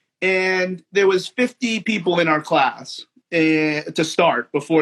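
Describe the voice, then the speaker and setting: A loud, high-pitched man with an American accent, the sound dry and close with no echo. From New Jersey, US. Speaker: physical therapist and trainer. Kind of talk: casual chat. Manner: halting, many repeated words.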